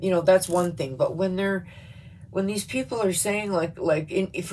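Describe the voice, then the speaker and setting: Her voice shows ordinary pitch variation as the woman speaks. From Canada. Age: 50s. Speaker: YouTuber. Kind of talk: political rant vlog. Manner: animated; halting.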